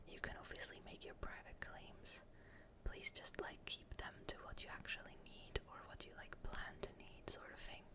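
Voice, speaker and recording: The whispering has a relaxed tone. It moves at a moderate pace. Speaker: ASMR gaming content creator. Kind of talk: ASMR gaming commentary. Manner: soft-spoken, relaxed.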